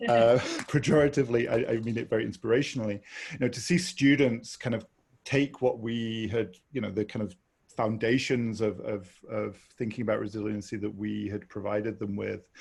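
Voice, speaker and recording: His somewhat breathy, medium-pitched voice moves at a fairly quick pace with fairly even intonation as this man speaks. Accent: British. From Britain. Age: 40s. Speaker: human rights researcher. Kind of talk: panel discussion. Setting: webinar.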